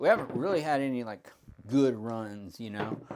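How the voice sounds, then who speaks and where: This man has a plain, everyday voice. He talks at a moderate pace with ordinary pitch variation. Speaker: craps strategy youtuber. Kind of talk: tutorial. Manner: casual, chatty.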